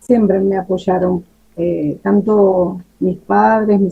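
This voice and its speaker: Speaking at a very slow pace, a woman uses a voice of medium pitch. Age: 50s. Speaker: writer. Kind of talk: interview answers.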